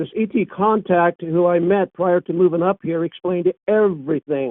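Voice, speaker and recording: A man with a high voice talks at a moderate pace with ordinary pitch variation. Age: 70s. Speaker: experiencer recounting paranormal and ET encounters. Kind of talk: interview testimony. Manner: halting with repetitions.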